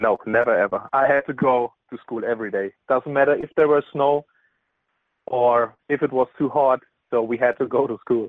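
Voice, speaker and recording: A man of medium pitch with a German accent, at a moderate pace and with fairly even intonation. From Bavaria, Germany (near Bamberg). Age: 20s. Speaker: football player. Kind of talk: interview. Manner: halting, with frequent fillers.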